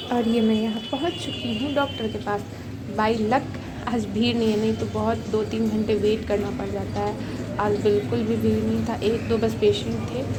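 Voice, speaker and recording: A woman talks at a fairly slow pace. Audible room echo and noticeable background noise surround her. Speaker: vlogger. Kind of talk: casual vlog narration.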